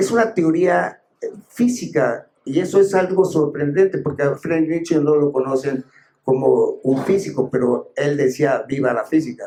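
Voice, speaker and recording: Fairly slow speech from a man, dark, mellow in tone, with lively intonation. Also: fairly high pitch for a man. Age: 80s+. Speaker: philosopher and author. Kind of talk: book presentation talk. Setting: bookstore event with audience. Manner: halting, with many fillers.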